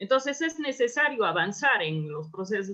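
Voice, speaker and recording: A woman with an Andean accent speaks with very wide pitch swings. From Peru, Apurímac (Andes). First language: Quechua (speaking Spanish). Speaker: anthropologist and researcher. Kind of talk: lecture. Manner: halting.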